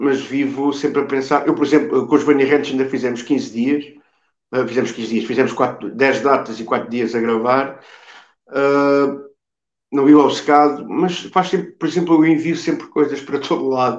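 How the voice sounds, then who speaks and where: Fairly high male voice in a central Portuguese accent, ordinary pitch variation, moderate pace and audible room echo. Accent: European Portuguese, Coimbra. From Coimbra, Portugal; Portugal. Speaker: musician, drummer; podcast guest. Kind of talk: interview answer. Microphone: video call.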